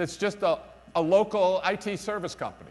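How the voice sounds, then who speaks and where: A man with a New York accent talks loudly in an energetic tone. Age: middle-aged. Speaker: business school director and keynote speaker. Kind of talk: conference keynote speech. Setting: stage with audience at conference. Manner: energetic, emphatic.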